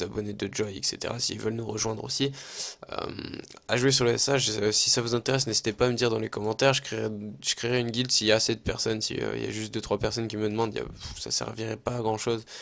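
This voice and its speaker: A man talks at a very fast pace. His fairly low voice has monotone, flat intonation. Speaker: gaming youtuber. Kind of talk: gameplay commentary. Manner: casual, hesitant with fillers.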